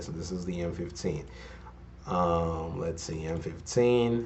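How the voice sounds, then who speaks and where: There is audible room echo around a man's very deep, low voice. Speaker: forex trader and trading educator. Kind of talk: tutorial.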